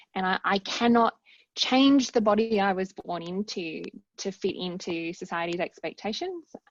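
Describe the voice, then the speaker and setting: A medium-pitched woman's voice with an Australian accent, ordinary pitch movement and a moderate pace. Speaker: academic researcher and author. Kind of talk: casual chat.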